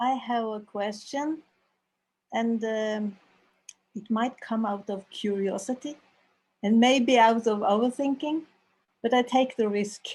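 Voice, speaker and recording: Against a quiet background, a woman with a Norwegian accent talks at a fairly slow pace in a fairly high pitch, with fairly even intonation and long, frequent pauses. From Norway. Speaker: audience member. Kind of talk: question from audience.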